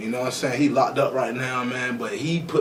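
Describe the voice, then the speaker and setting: Noticeable background noise and audible room echo surround the recording. A man with medium pitch talks at a fairly quick pace. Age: 20s. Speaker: rapper. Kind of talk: casual interview. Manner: animated.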